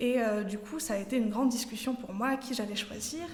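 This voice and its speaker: Heard with noticeable background noise and audible room echo, a woman with a slight Swiss French accent speaks at a high pitch with ordinary pitch variation. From Switzerland. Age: 20s. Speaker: trainee pastor. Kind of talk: sermon. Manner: halting, many fillers.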